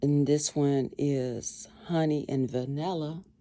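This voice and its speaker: Over noticeable background noise, a woman speaks with a very deep, low pitch and ordinary pitch variation. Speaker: craft and lifestyle vlogger. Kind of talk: casual tutorial vlog. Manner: conversational, rambling pace with fillers.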